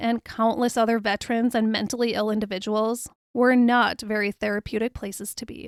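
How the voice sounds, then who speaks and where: At a fairly quick pace, a woman with a fairly high pitch talks in a normal speaking voice, the sound dry and close with no echo and the recording very clean with a silent background. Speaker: podcast host. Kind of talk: biographical podcast narration. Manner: upbeat, conversational.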